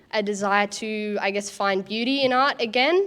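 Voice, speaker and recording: In a very clean recording with a silent background, a woman speaks with an Australian accent. Her pitch is fairly high, her intonation fairly even, and her pace fairly slow. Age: young. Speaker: young artist. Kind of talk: speech to an audience. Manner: halting.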